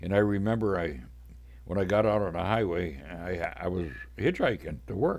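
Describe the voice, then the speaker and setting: With a very deep, low pitch and vocal fry, a man talks at a moderate pace using lively intonation. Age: 80s+. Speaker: podcaster. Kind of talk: personal storytelling. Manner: casual.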